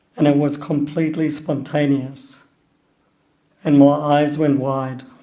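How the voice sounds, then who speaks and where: A man's fairly high, dark, mellow voice in a monotone, flat delivery at a fairly slow pace, with audible room echo. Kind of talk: personal talk.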